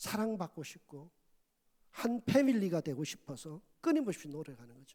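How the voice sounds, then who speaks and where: A man's high-pitched voice, dark and mellow in tone, with very wide pitch swings at a fairly slow pace. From Korea, Gyeongsang province. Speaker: pastor. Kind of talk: sermon. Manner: loud.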